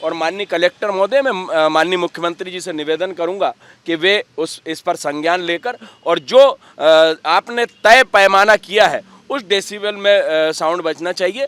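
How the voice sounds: A man's high-pitched voice at a moderate pace, fairly bright, clear and smooth in tone, with ordinary pitch variation, few pauses and a dry, close sound with no echo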